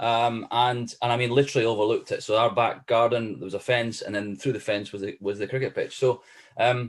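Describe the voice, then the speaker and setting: A man with a Scottish accent, medium pitch, fairly even intonation, and a fairly quick pace, on a very clean recording with a silent background. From Scotland, Edinburgh area. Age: 40s. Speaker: former cricketer and cricket coach. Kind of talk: podcast interview. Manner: hesitant, many fillers and repeats.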